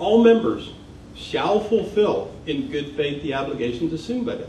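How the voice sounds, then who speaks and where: Pitch swings very widely as a man speaks against noticeable background noise and audible room echo. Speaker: professor and environmental consultant. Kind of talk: public talk.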